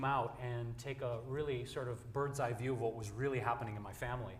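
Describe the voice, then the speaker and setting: A man with an American accent talks at a very fast pace with fairly even intonation, and room echo is audible. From US Midwest, Detroit, Michigan. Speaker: vegan advocate. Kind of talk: panel discussion. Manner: casual.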